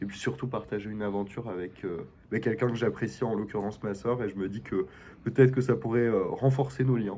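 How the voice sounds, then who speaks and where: A man speaks at a fairly quick pace with a fairly low pitch. His voice has a dark, mellow tone and vocal fry. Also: lively intonation. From Belgium. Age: 20s. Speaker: student, reality show applicant. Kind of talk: casual self-presentation video.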